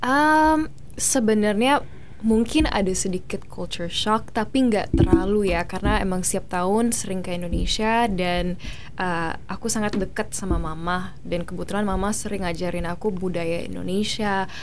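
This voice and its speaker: A woman talks at a moderate pace in a medium pitch, with noticeable background noise and audible room echo. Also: ordinary pitch variation. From Australia. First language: English (speaking Indonesian). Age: 20s. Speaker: beauty pageant winner and actress. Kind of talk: interview. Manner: code-switching between Indonesian and English.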